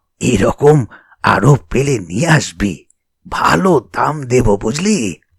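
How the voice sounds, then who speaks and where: A raspy, put-on character voice at a very slow pace, dry and close with no echo. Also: man, medium pitch for a man. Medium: read story. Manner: enthusiastic, fatherly.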